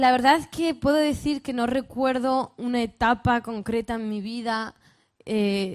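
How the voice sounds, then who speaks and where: Speaking very slowly in a northern Spanish accent, a woman uses a high pitch. Her pitch variation is ordinary, and the recording is very clean with a silent background. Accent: northern Spanish, Castilian. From northern Spain. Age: 20s. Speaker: youth speaker, pastors' daughter. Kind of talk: sermon-style talk to youth conference. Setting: stage with audience.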